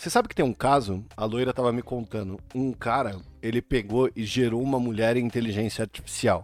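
At a fairly quick clip and with hardly any pauses, a man of medium pitch speaks with fairly even intonation. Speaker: podcast host. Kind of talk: casual chat.

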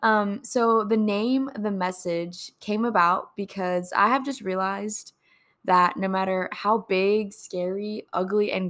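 Captured in a very clean recording with a silent background, a woman at a medium pitch speaks at a fairly slow pace in an animated tone. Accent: Texas. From Texas Gulf Coast. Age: 20s. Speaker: podcast host, college student. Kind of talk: faith podcast monologue. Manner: animated, giggly; hesitant with fillers.

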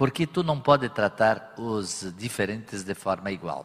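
A man with fairly low pitch and an unremarkable speaking voice talks at a fairly slow pace, his intonation lively. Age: 60s. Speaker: business executive. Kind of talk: on-stage interview. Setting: stage with audience.

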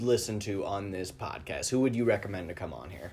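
With an American accent, a man speaks at a fairly low pitch in a somewhat breathy voice. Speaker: podcast host and comic. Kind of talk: casual interview chat.

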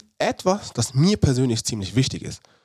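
Lively in intonation, a man with a normal speaking voice talks at a moderate pace and medium pitch. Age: 30s. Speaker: podcast host, former pro footballer and performance coach. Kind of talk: solo podcast monologue.

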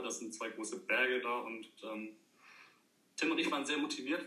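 With fairly even intonation, a man talks through audible room echo and noticeable background noise. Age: 30s. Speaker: former scout and camp medic. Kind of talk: casual chat.

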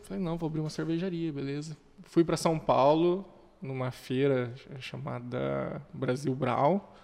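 This man has an unremarkable speaking voice, pitched fairly high. He talks at a fairly slow pace with ordinary pitch variation. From Brazil, Curitiba. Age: 20s. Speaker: entrepreneur, craft beer and restaurant owner. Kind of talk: casual chat.

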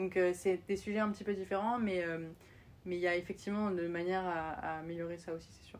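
An unremarkable speaking voice talks at a fairly quick pace with fairly even intonation and big swings in loudness. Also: woman, fairly low pitch for a woman. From France. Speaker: startup founder. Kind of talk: interview.

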